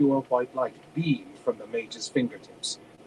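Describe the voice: Here the speaker does plain reading aloud.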